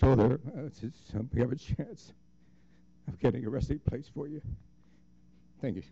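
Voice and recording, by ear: Speaking at a moderate pace and medium pitch, a man has a dark, mellow tone with a slightly husky edge, vocal fry, and ordinary pitch variation.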